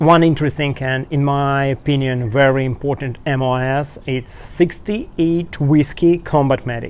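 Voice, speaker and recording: With a Russian accent, a man speaks at a fairly high pitch and a moderate pace. His intonation stays fairly even, and he hardly pauses at all. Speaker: soldier and YouTuber. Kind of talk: interview. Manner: halting, non-native phrasing.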